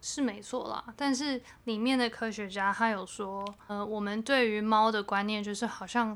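Here a woman speaks at a moderate pace. Her pitch is fairly high and her intonation fairly even. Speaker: podcast co-host. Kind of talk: casual chat. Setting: home bedroom recording. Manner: subdued, low-energy delivery.

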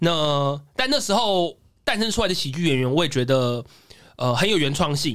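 A man with a plain, everyday voice speaks at a moderate pace in a fairly high pitch, his intonation lively and his loudness very even. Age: 30s. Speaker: stand-up comedian. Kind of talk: casual chat.

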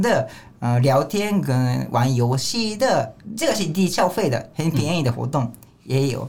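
Speaking at a fairly slow pace, a man with a Japanese accent uses a fairly high pitch and lively intonation. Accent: Japanese-accented Mandarin. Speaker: manzai comedian. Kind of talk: casual chat.

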